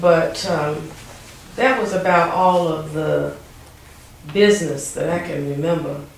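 A woman speaks at a fairly slow pace and fairly low pitch with ordinary pitch variation and long, frequent pauses, with audible room echo and light background noise. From Wilson, North Carolina; North Carolina. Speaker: oral history interviewee; interviewee. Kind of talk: oral history interview. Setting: museum. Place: office. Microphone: camera far.

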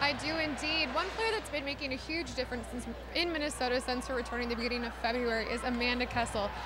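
A woman with a high voice speaks at a very fast pace with ordinary pitch variation, the sound dry with no echo despite loud background noise. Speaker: news anchor and sports reporter. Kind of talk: sports reporting. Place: stadium. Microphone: handheld.

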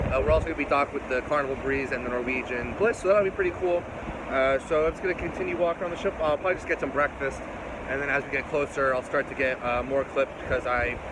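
The speech comes at a very fast pace with ordinary pitch variation, sounding dry with no echo, over noticeable background noise. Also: man. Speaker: travel vlogger. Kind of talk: casual vlog chat. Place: boat. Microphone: phone near.

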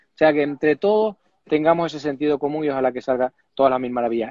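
The recording is dry, with no echo and a quiet background. Speech moves at a very fast pace. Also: man. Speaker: remote guest, rally commentator. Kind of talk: interview answer. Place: office. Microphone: earbuds.

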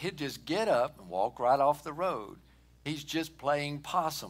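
A man is talking. His pace is fairly slow. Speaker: pastor. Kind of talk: sermon. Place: church.

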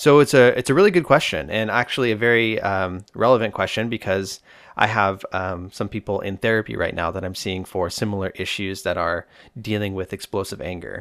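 A man with an unremarkable speaking voice, fairly low in pitch, at a fairly quick pace with ordinary pitch variation, in a very clean recording with a silent background. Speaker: therapist and podcast host. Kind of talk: solo podcast monologue answering listener questions. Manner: casual, humorous, informal.

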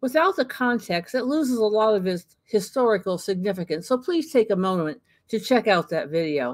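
A woman with a fairly high pitch talks at a moderate pace with hardly any pauses, her pitch swinging very widely. The sound is dry with no echo against a quiet background. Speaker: history channel host. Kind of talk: scripted narration. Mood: warm, friendly. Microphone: webcam.

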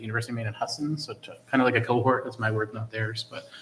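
There's clear noise in the background. The man's voice sits at a mid-range pitch. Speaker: school committee member. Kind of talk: committee meeting report. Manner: fast.

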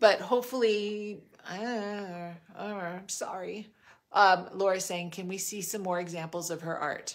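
Over a quiet background, a woman with an American accent talks at a fairly slow pace with medium pitch, fairly even intonation and big swings in loudness. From US West Coast, Los Angeles area (Monterey Park); California. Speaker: podcast host. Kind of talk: interview. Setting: on location at guest's home in the desert. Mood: warm, curious. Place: home room. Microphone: phone near.

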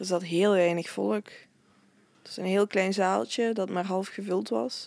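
A woman's medium-pitched voice, fairly slow, with ordinary pitch variation. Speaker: festival-goer and podcast co-presenter. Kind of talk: casual chat.

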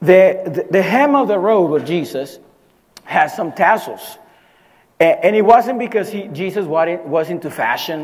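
A man speaks with lively intonation in audible room echo. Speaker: pastor. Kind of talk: sermon. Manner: halting, many repetitions.

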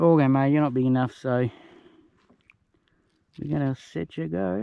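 A man with a dark, mellow tone speaks at a moderate pace in a dry recording with no echo. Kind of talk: casual vlog chat. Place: boat. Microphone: phone near.

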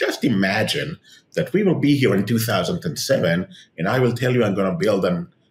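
A man speaks in a somewhat breathy voice. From Israel. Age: 50s. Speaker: tech entrepreneur and author; guest. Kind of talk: interview. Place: home room. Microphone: webcam.

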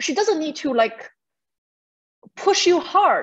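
A woman with a Chinese accent at a moderate pace against a quiet background. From China. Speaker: novelist; guest. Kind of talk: author interview answer. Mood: warm, thoughtful. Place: home room. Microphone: video call.

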